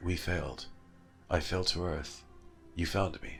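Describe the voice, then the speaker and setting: A man uses a put-on character voice at a fairly slow pace, with clear music in the background. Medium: read story. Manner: mild, polite.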